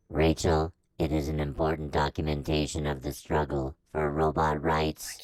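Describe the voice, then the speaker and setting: A man puts on a character voice, pitched very deep and low. He delivers it in a flat monotone at a moderate pace. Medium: audio drama.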